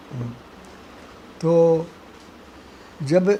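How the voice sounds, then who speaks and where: A fairly high-pitched male voice with ordinary pitch variation amid noticeable background noise. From Haryana, India. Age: 80s+. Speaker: retired government official. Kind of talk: interview answer.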